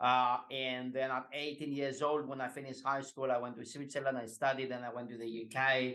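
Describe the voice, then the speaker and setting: Speaking with a Greek accent, a man with a medium pitch and a bright, sharp tone talks at a fairly quick pace, with hardly any pauses and monotone, flat intonation. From Greece. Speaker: executive coach. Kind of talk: podcast interview.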